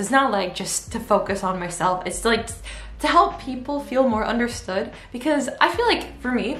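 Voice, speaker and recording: Noticeable background noise and audible room echo surround the recording. A woman speaks with lively intonation. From United States. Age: 20s. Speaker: YouTuber and English teacher. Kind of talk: casual chat. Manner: rambling, filler-heavy.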